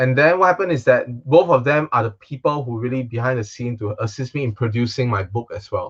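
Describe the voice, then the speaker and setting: A somewhat breathy man with a Singaporean accent talks at a very fast pace, with medium pitch and ordinary pitch variation. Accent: Singaporean English with Singlish particles. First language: Chinese. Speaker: magician. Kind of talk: casual chat.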